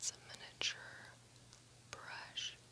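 Over light background noise, a soft-spoken woman is whispering. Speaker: vlogger. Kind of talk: casual vlog chat. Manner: soft ASMR whisper close to microphone. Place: home room. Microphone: phone near.

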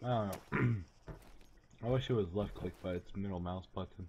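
At a moderate pace, a man speaks with a somewhat breathy, fairly low voice and ordinary pitch variation. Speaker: gamer. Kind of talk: casual gameplay commentary.

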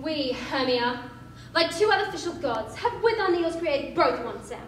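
A woman at extremely high pitch, lively intonation and moderate pace, with light background noise and audible room echo. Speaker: actor. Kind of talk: theatrical monologue. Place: hall. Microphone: camera far.

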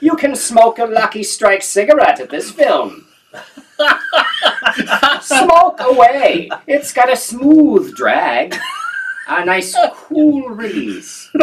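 A man puts on a character voice at an extremely high pitch, speaking at a very slow pace with long, frequent pauses. Light background noise is present. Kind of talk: vintage radio ad pitch. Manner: smooth and salesy.

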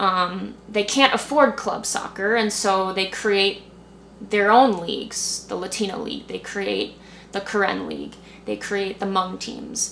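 With fairly even intonation, a woman speaks at a fairly slow pace and medium pitch over light background noise. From US suburbs. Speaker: youth soccer coach. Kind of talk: interview. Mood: calm, reflective. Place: home room.

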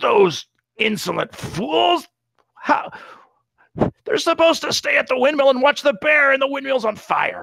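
Someone uses a high-pitched, put-on character voice, leaving long, frequent pauses. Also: moderate pace. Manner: mean, authoritative.

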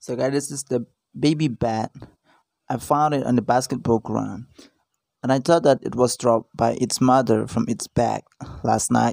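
A man speaks at a moderate pace with fairly even intonation and long, frequent pauses. The sound is dry with no echo, and the background is quiet. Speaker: vlogger. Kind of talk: casual vlog narration. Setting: outdoors. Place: garden. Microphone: phone near.

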